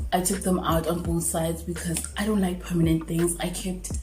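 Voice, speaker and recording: A woman is speaking. Audible room echo and noticeable background noise are present. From South Africa. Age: 20s. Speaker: YouTuber. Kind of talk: casual Q&A vlog. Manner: talkative, words sometimes slur.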